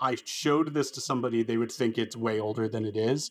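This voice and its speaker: A man with a normal speaking voice talks at medium pitch and a moderate pace, his pitch varying in an ordinary way. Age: 30s. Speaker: music writer. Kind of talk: casual chat.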